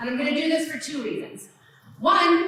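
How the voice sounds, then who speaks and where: A woman speaks in an animated tone at a high pitch with very wide pitch swings, over noticeable background noise and audible room echo. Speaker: museum executive and lecturer. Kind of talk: lecture. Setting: lecture hall with live audience, streamed. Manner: fast.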